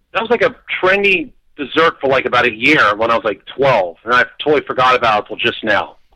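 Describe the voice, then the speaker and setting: This voice has a bright, sharp tone, races along at a very fast pace, and swings very widely in pitch. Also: man, medium pitch for a man. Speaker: caller. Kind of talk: casual chat. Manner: loud.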